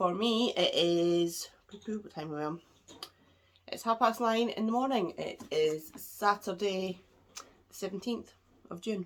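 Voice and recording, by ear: A woman with a nasal voice at medium pitch speaks at a fairly slow pace with ordinary pitch variation.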